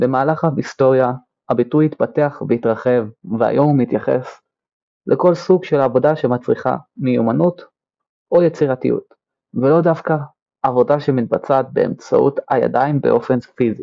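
Speaking fairly slowly with long, frequent pauses, a man uses a fairly high pitch, ordinary pitch variation and very even loudness. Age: 20s. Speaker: podcast host, aircraft technician. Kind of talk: scripted podcast monologue.

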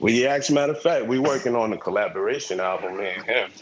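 A man talks with ordinary pitch variation while noticeable background noise carries on behind him. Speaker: rapper, guest on review podcast.

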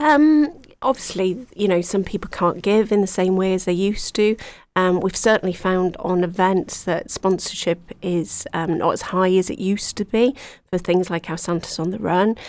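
This is a woman with a Welsh accent speaking at a moderate pace. The recording is very clean, with a silent background. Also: medium pitch for a woman, ordinary pitch variation. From Wales. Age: 40s. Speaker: charity volunteer coordinator. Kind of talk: radio interview. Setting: radio studio.

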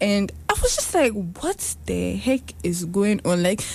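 This woman talks fairly slowly. Behind her there is noticeable background noise. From Ghana. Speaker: podcast co-host. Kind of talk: casual chat.

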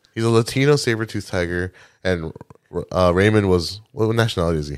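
In a very clean recording with a silent background, a man with a very deep, low pitch and an American accent talks very fast with lively intonation. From US Midwest, Milwaukee. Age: 30s. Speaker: podcast co-host. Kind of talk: casual chat.

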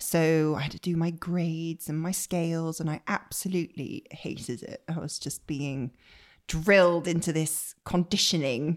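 A fairly low-pitched woman in a West Country accent, fairly even in intonation, on a very clean recording with a silent background. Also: moderate pace. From Bristol, West Country England. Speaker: professional violinist. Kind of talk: casual interview chat.

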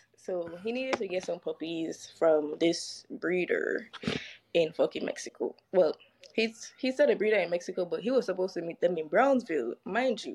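With an American accent, a woman speaks at a moderate pace in a medium pitch and lively intonation. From St. Croix, US Virgin Islands. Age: 20s. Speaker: podcast guest. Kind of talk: casual storytelling. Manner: animated.

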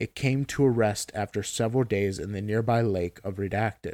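A man talks in a normal speaking voice, fairly low in pitch, at a moderate pace with fairly even intonation. The sound is dry and close with no echo, on a very clean recording with a silent background. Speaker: SCP story narrator. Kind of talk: scripted narration of a dry SCP containment report, read aloud in a flat clinical tone. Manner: formal, even-paced, deadpan.

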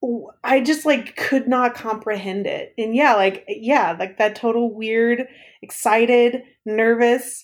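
An ordinary speaking voice, a woman talks at a fairly slow pace with a fairly high pitch on a very clean recording with a silent background. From East Texas. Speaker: former summer camp staff member. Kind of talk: casual interview chat.

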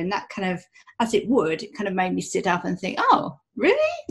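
A woman speaks in a somewhat breathy voice. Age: 40s. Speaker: human design coach. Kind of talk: interview.

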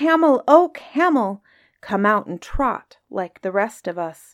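Over a very clean recording with a silent background, a woman uses a put-on character voice at a fairly high pitch and a fairly slow pace. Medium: read story. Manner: earnest, aggrieved.

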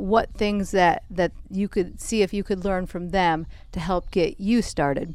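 Using an unremarkable speaking voice, a woman talks at a medium pitch and a fairly slow pace, with ordinary pitch variation. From Minnesota. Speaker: soil health specialist. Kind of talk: casual chat interview. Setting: outdoors on a porch.

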